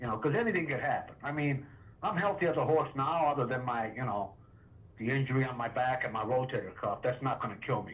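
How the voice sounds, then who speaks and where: A man races along at a very fast pace, his pitch varying in an ordinary way amid noticeable background noise. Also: medium pitch for a man. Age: 60s. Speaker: property owner. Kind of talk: phone negotiation. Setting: phone call.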